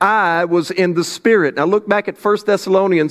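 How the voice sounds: The intonation here is fairly even. It comes from a natural reading voice.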